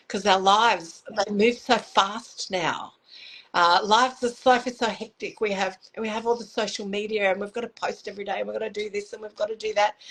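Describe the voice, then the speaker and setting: A woman in a normal speaking voice, fairly high-pitched and fairly quick, with fairly even intonation and big swings in loudness. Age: 60s. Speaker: makeup artist and motivational speaker. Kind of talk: casual interview chat.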